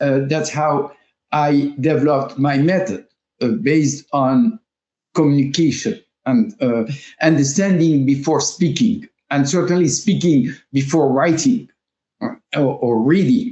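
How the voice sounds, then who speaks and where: Someone with a French accent speaks at a fairly slow pace with very even loudness. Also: man. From France. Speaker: language teacher and school founder. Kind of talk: interview. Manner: halting, many fillers.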